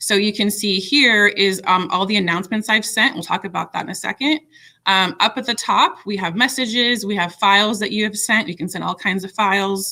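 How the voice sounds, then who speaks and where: Against a quiet background, a woman with a bright, sharp tone talks at a fairly quick pace. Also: ordinary pitch variation. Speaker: middle school teacher leading staff training. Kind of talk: software tutorial for colleagues. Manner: fast; casual with frequent fillers. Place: home room. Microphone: webcam.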